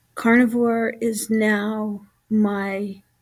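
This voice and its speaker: A woman with a fairly high pitch. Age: 70s. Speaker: health vlogger with chronic illness. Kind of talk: casual vlog monologue. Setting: at home. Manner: halting, many filler words.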